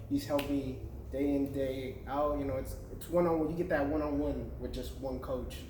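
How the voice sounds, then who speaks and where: A man's fairly quick speech carries audible room echo over noticeable background noise. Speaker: MMA fighter. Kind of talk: casual interview.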